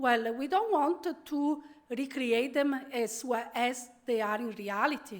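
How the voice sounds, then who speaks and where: Speaking at a fairly slow pace, a woman uses a high pitch and an Italian accent. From Italy, Venice. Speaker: professor. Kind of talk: keynote lecture. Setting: conference stage with audience.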